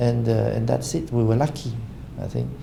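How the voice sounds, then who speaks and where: Audible room echo hangs around the man as he talks at a moderate pace. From Cambodia. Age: 60s. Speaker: business association chairman. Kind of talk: interview. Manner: halting with many fillers.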